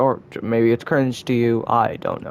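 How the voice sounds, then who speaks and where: Over noticeable background noise, a man speaks at a moderate pace in a medium pitch with monotone, flat intonation. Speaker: gaming youtuber. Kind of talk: gameplay tutorial commentary. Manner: halting; casual, self-deprecating.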